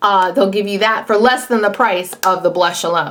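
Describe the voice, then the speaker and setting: Amid noticeable background noise, a woman talks at a medium pitch. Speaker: beauty vlogger. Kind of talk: product review.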